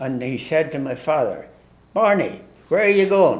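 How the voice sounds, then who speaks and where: Audible room echo surrounds a man with an Ulster accent whose fairly high voice has lively intonation. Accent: Ulster Irish. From Ireland, Ulster (Tyrone area). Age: 90s. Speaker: priest. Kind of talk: storytelling in casual interview. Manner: halting.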